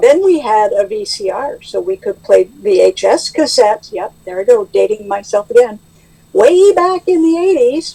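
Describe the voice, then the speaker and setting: This woman's voice sits high and swings very widely in pitch at a moderate pace. The sound is dry and close, with no echo. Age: 60s. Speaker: AA member sharing recovery. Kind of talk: testimony. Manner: halting.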